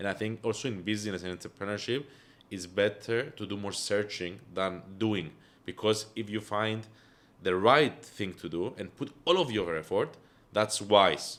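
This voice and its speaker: A man with a Greek accent, fairly low in pitch, at a moderate pace with ordinary pitch variation. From Cyprus. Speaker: entrepreneur. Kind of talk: podcast interview. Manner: hesitant, many fillers.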